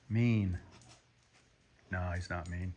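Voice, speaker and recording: The pace is very slow. A man talks with ordinary pitch variation. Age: 60s. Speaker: hunter. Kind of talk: casual vlog talk. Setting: workshop. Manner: halting.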